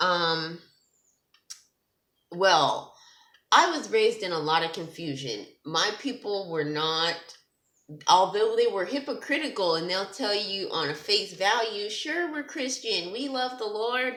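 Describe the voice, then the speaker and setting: A woman's medium-pitched voice with a bright, sharp tone and very wide pitch swings, fairly slow, with long, frequent pauses and audible room echo. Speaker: testimony vlogger, ministers to girls. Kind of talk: testimony. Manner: halting, stuttering.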